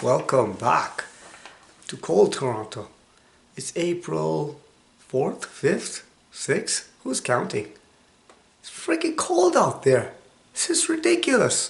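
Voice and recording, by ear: A man puts on a hoarse character voice and speaks at a fairly slow pace, with long, frequent pauses.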